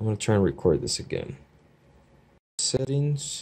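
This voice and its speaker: A somewhat breathy man with an American accent, at a moderate pace and with ordinary pitch variation. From US Midwest (Chicago). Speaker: YouTuber, movie collector; YouTuber. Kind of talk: casual unboxing video. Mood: relaxed, appreciative. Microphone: phone near.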